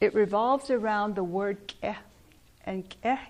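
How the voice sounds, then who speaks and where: A woman with a Navajo Nation accent speaks at a medium pitch, her intonation fairly even. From Navajo reservation, northern Arizona. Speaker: weaver and cultural speaker. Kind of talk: talk to a museum audience.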